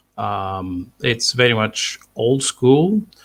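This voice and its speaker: A man with a Bulgarian accent speaks at a very slow pace. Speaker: sci-fi author. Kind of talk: interview. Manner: halting, many fillers.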